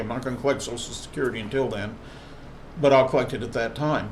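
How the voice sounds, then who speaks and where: A medium-pitched male voice with an American accent and fairly even intonation, amid audible room echo and noticeable background noise. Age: 60s. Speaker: tattoo artist and body piercer. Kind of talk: vlog monologue. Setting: live stream.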